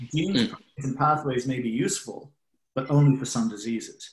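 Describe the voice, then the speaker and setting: Somewhat breathy, a man with an Australian accent talks at a moderate pace in a medium pitch with ordinary pitch variation. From Australia (Sydney). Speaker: biotech investor. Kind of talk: casual interview. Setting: video call.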